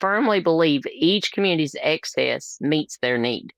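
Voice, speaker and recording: A woman with a strong Appalachian accent, in a dry, close sound with no echo. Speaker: labor and delivery nurse, nonprofit founder. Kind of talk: interview conversation. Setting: podcast interview.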